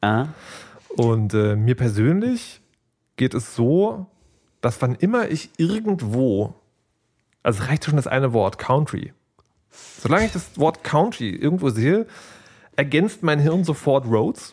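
Using very wide pitch swings but very even loudness, a man speaks fairly slowly in a fairly high pitch with long, frequent pauses. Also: very clean recording, silent background. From Saxony, Dresden. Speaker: podcast host. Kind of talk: casual chat.

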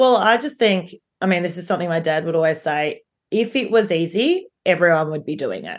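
A woman speaks with an Australian accent at a fairly low pitch. Her pace is fairly quick and her intonation lively. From Melbourne, Australia. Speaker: property developer. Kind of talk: interview.

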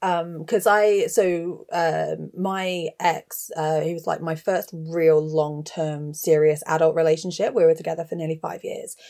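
A woman with an English accent speaks at a fairly slow pace with hardly any pauses, her pitch fairly low. Her tone is dark and mellow, and her intonation fairly even. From England (Gloucestershire, raised there from age eleven). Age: 30s. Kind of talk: casual chat.

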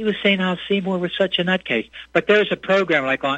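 A man at a fairly quick pace. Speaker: caller. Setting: phone call.

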